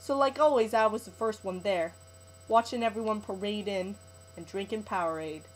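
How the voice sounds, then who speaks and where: A woman with an unremarkable speaking voice talks at a fairly high pitch. Her pace is fairly quick, and her pitch variation is ordinary. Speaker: creative writing student. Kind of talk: short story reading.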